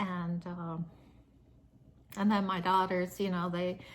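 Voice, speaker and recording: In an American accent, a woman with a medium-pitched voice talks at a fairly slow pace, her tone relaxed and her intonation flat and monotone. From US Midwest, Nebraska. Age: 60s. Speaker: lifestyle vlogger. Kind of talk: casual vlog talk to camera. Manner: relaxed, with many fillers and hesitations.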